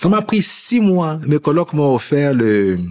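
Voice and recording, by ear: A man talks at a fairly slow pace. His pitch makes big swings up and down. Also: fairly high pitch for a man, slightly mellow tone.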